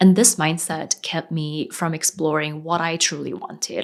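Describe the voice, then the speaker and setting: A woman with an American accent and an unremarkable speaking voice talks at a moderate pace in a fairly low pitch. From South Korea, raised partly in Sri Lanka. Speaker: freelance web designer and business coach. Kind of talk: personal story video.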